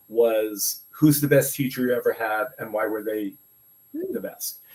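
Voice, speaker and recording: A man talks at a moderate pace in an American accent. His pitch moves in an ordinary way. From New York City (Brooklyn). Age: 60s. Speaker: educator and podcaster. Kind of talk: interview conversation. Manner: halting, many fillers.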